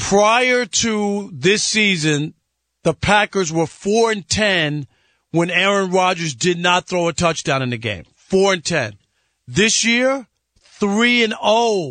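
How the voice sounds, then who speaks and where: Over a quiet background, a man with a New York accent speaks very slowly in a high, bright, sharp voice with lively intonation. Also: dry, close sound with no echo. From New York (Jamaica, Queens). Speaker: guest sports radio host, former sportswriter. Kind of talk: casual sports talk radio.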